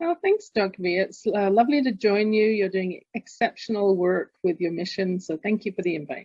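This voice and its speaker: A woman with an English accent, medium pitch, lively intonation and a moderate pace. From London, England. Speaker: executive coach and author. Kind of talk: interview.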